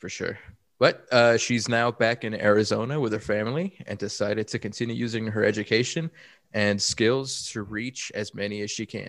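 This man has a normal speaking voice at a medium pitch, with fairly even intonation and a moderate pace. The recording is very clean, with a silent background. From Chicago. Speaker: performance consultant and podcast co-host. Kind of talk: casual chat.

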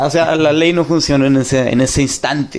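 Ordinary pitch variation and a moderate pace shape the man's delivery, in a normal speaking voice. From Mexico, Monterrey. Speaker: listener calling in. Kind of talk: casual chat.

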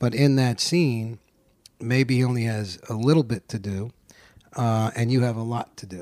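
A man at medium pitch speaks with fairly even intonation in a very clean recording with a silent background. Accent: New York. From New York. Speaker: actor. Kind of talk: casual chat.

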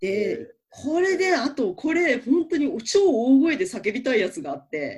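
A high-pitched woman's voice with very wide pitch swings and big swings in loudness. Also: fairly slow pace. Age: 30s. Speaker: manga writer and deputy editor. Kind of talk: casual chat.

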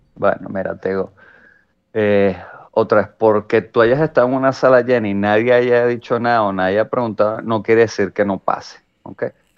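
The speaker uses fairly even intonation in a Venezuelan accent. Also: man, medium pitch for a man, moderate pace. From Venezuela, San Antonio de los Altos area. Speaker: comedian and podcast co-host. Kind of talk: casual chat.

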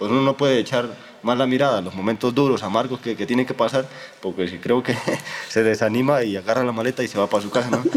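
Talking very fast with ordinary pitch variation, a man is heard over noticeable background noise. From Honduras. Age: 20s. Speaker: theology student in a religious order. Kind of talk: interview. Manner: halting, with frequent repetitions.

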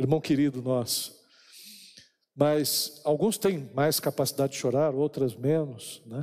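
A man talks in a plain, everyday voice, fairly high in pitch, at a fairly slow pace with ordinary pitch variation. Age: 50s. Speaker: pastor. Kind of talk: sermon.

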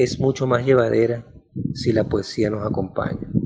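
Featuring an ordinary speaking voice, a man of medium pitch talks with fairly even intonation. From Venezuela, Maracaibo. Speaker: novelist. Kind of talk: personal storytelling.

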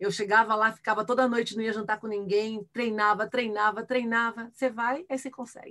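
A woman with a fairly high pitch talks at a fairly quick pace in an animated tone, with hardly any pauses. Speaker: futurist and keynote speaker. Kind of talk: casual interview.

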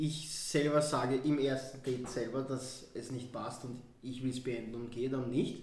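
Delivered at a moderate pace with hardly any pauses, the monotone, flat speech carries audible room echo and noticeable background noise. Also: man, medium pitch for a man. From Vienna, Austria. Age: 20s. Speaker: podcast guest. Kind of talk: casual chat. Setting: studio.

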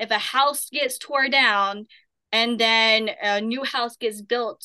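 Bright and sharp in tone, the voice carries an Appalachian accent. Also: woman. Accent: Southern Appalachian American. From southern Appalachia, US. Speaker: paranormal investigator. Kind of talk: casual interview.

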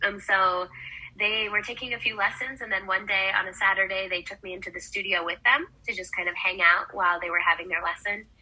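A woman with an American accent talks at a fairly quick pace in a medium pitch, her intonation fairly even but her loudness swinging widely, over noticeable background noise. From Wisconsin, US Midwest. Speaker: professional ballroom dancer and dance educator. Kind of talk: casual interview.

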